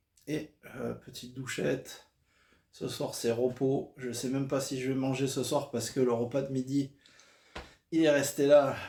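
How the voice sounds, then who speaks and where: A man speaks fairly slowly in a medium pitch, somewhat breathy, with a dark, mellow tone. His intonation is monotone and flat, broken by long, frequent pauses. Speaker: vlogger. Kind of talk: travel vlog. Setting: hotel room. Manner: hesitant with fillers.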